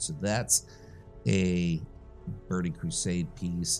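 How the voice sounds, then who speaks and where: Music runs in the background as a man speaks in a very deep, low voice. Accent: American. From Long Island, New York. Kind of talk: casual game-gear commentary.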